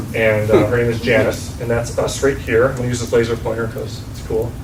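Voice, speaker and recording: Noticeable background noise and audible room echo surround a man speaking with an American accent at a moderate pace and medium pitch. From western New York. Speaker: dentist. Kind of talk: business networking presentation. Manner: casual, many filler ums.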